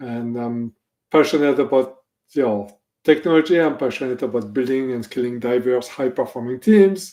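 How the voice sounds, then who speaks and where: A man speaks with a French accent at a medium pitch and a moderate pace. His tone is dark and mellow, with ordinary pitch variation. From France. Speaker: technology executive. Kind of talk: interview.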